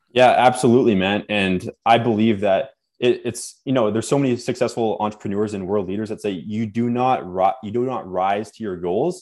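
With a Canadian accent, a man talks in an ordinary speaking voice at a fairly quick pace, his pitch fairly low with ordinary variation and hardly any pauses. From Canada (born Nova Scotia, moved around). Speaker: fitness and personal growth coach. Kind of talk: podcast interview.

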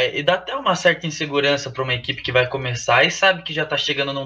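Over noticeable background noise, a man talks at a very fast pace in a fairly high pitch. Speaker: university cheerleading team member. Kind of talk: casual chat.

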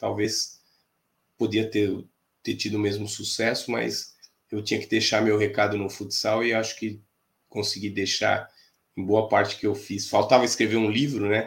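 A man speaks at a moderate pace in a fairly low, monotone voice with vocal fry and flat intonation. Long pauses come often, and the recording is very clean with a silent background. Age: 50s. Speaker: futsal fitness coach. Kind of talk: casual interview.

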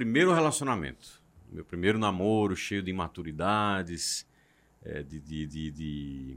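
In a very clean recording with a silent background, a man with a very deep, low pitch talks at a moderate pace. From João Pessoa, Paraíba, northeast Brazil. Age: 30s. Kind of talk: casual chat.

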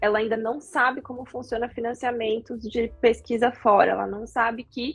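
A woman's fairly high pitch at a moderate pace, with monotone, flat intonation. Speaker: podcast host. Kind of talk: interview.

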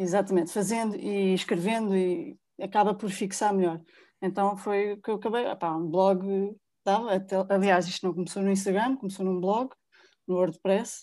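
A woman speaks at medium pitch with a dark, mellow tone and fairly even intonation. Her pace is moderate, against a quiet background. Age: 30s. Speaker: personal finance blogger. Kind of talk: interview.

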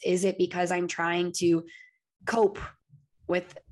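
A woman is talking here. Her pace is fairly slow. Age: 30s. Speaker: podcast host. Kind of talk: casual interview chat.

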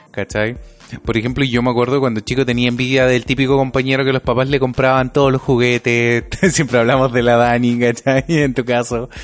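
A man with a Chilean accent, monotone and flat in intonation, very even in loudness, at a fairly quick pace. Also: medium pitch for a man. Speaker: podcast co-host. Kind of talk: casual chat.

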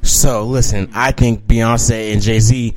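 A man speaks at a fairly slow pace in a flat monotone, his pitch medium, with noticeable background noise. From Alabama. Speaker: podcast host. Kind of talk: casual chat.

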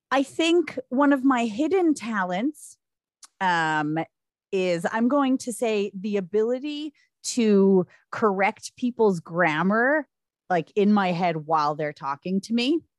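With an American accent, a woman speaks at a very slow pace with very wide pitch swings, her sound dry and close with no echo. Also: medium pitch for a woman. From Staten Island, New York. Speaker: podcast co-host. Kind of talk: casual chat.

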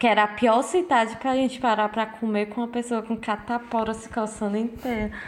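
A woman with a fairly high-pitched voice talks at a fairly quick pace with hardly any pauses and fairly even intonation. Noticeable background noise sits behind her. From Brazil. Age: 20s. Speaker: podcast co-host. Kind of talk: casual chat.

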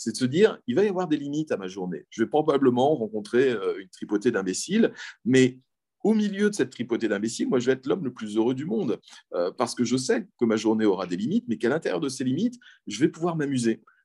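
Over a quiet background, a man talks at a very fast pace with a dark, mellow tone. His pitch is medium and swings very widely. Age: 40s. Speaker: philosophy teacher. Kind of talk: interview.

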